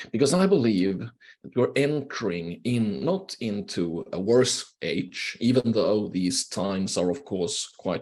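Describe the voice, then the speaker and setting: A man with a Swedish accent speaks at a fairly slow pace. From Finland, Swedish-speaking. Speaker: professor, keynote speaker. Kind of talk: lecture. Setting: video call.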